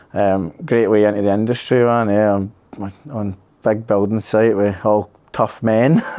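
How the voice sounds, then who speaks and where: In a Scottish accent, a man speaks with a fairly low pitch and a dark, mellow tone. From Scotland, Kilsyth near Glasgow. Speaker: electrician, accident survivor. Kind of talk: interview. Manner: casual, hesitant with many fillers.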